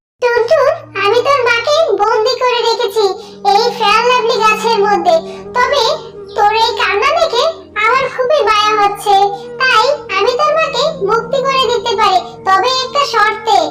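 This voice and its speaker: A cartoonish character voice, female-sounding and extremely high in pitch, goes at a moderate pace with music in the background. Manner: boastful and menacing.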